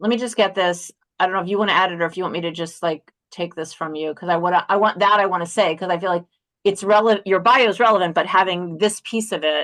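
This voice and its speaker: A woman's medium-pitched voice at a very fast pace, with fairly even intonation against a quiet background. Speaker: webinar moderator. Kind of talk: casual chat.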